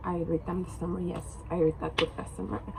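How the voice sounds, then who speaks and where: A woman speaks with a Turkish accent against noticeable background noise. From Turkey. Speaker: book vlogger. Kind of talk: casual vlog talk to camera. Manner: halting, many fillers.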